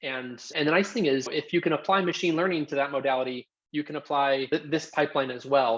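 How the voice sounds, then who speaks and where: A man speaks at a fairly quick pace. His fairly high voice shows ordinary pitch variation. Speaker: tech company co-founder presenting a webinar. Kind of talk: live Q&A in a webinar. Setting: video call webinar. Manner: fast.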